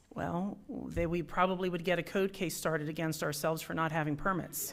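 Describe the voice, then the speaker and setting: Amid audible room echo, a woman with a fairly low pitch talks at a fairly quick pace with fairly even intonation. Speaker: city government staff member presenting budget. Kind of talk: council meeting presentation. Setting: city council meeting. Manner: fast.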